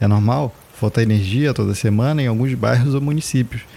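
The man has a dark, mellow tone, somewhat breathy, at a medium pitch. He keeps a moderate pace with ordinary pitch variation. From Brazil, Macapá (Amapá). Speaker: podcast host, artist and chronicler. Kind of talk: scripted narration.

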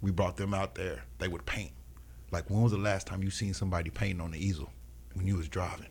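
Talking at a very fast pace, a man with a very deep, low pitch shows vocal fry and lively intonation. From Kansas City, Missouri. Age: 40s. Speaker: nonprofit founder and artist. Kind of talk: radio interview. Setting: radio studio.

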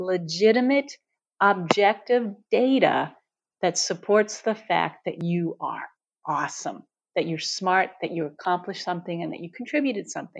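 With an American accent, a woman uses a normal speaking voice of medium pitch, lively intonation, and a moderate pace over a quiet background. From US, New York City. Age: 60s. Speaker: former engineer, author and speaker. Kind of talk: interview.

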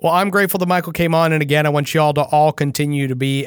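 A man's speech moves very fast. Its pitch varies in an ordinary way. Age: 30s. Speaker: political podcast host. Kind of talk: political commentary.

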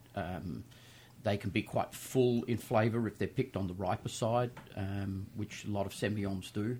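With an Australian accent, a man speaks in a dark, mellow, somewhat breathy tone at a fairly low pitch and with fairly even intonation. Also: moderate pace. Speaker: winemaker. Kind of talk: casual chat. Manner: uses many filler 'um's.

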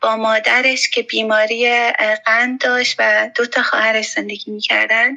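A woman talks at a fairly slow pace. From Herat, Afghanistan. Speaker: teacher and school founder. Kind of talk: interview testimony.

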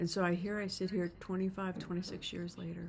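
A woman speaks in a somewhat breathy voice at a fairly low pitch. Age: 60s. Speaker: podcast host, leadership coach. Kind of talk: solo podcast monologue. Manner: casual, conversational with fillers.

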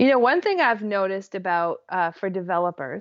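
A woman speaks at medium pitch. Her intonation is lively. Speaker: business and productivity coach. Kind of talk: interview. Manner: animated, enthusiastic.

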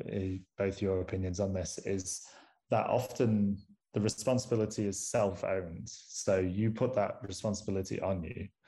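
At a moderate pace and with fairly even intonation, the voice has a dark, mellow tone and is somewhat breathy, on a very clean recording with a silent background. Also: man. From northern England, Manchester. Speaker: astronomer and university lecturer. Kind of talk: casual interview conversation.

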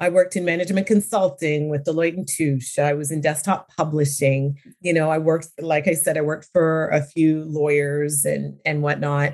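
Speaking at a moderate pace with hardly any pauses, a woman with a Canadian accent talks in a very deep, low voice and fairly even intonation. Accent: Canadian, little trace of British. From London, England, raised in Ontario, Canada. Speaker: business owner, real estate industry professional. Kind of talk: interview, casual chat.

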